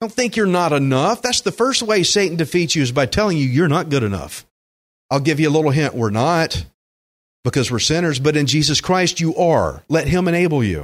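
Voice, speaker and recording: A man's fairly high voice in a Texan accent, animated in tone with lively intonation, very even in loudness, on a very clean recording with a silent background. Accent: Texan country drawl. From Texas (Alvin, Gulf Coast). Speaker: pastor. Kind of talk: sermon.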